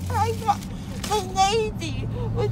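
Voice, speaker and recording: A woman's voice comes through dry, with no echo, over loud background noise. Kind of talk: emotional casual chat. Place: car. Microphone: phone near.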